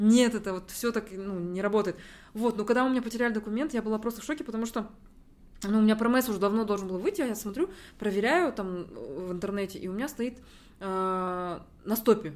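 Talking very fast but with long, frequent pauses, a woman uses a fairly high pitch and ordinary pitch variation on a very clean recording with a silent background. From Kazakhstan. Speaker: university student abroad. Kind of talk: casual interview conversation.

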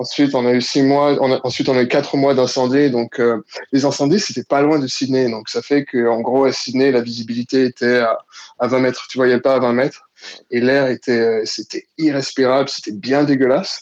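A man's medium-pitched voice keeps a moderate pace and a monotone, flat intonation. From Ivory Coast. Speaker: listener guest. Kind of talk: casual chat.

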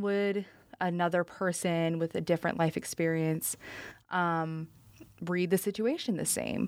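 Fairly slow and fairly even in intonation, an unremarkable speaking voice from a woman at a fairly low pitch, on a very clean recording with a silent background. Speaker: student podcast host, managing editor. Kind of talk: casual chat.

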